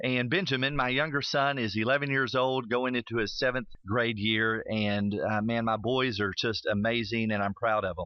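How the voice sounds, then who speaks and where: A man with a Tennessee accent speaks at medium pitch and a moderate pace. His loudness stays very even, with hardly any pauses. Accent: Tennessee Southern US. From US South. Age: 40s. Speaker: radio host. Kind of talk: radio talk show monologue. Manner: animated.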